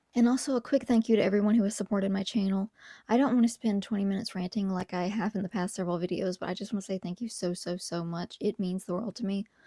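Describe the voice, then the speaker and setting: A woman whispering, somewhat breathy, at a very fast pace with hardly any pauses, in a very clean recording with a silent background and a dry, close sound with no echo. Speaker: video essayist, youtuber. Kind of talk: casual video commentary. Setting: home recording at night.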